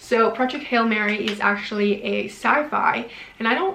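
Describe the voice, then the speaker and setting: A woman speaks at a moderate pace in an animated tone, her intonation lively over noticeable background noise. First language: not English. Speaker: book youtuber. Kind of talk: casual vlog talk to camera.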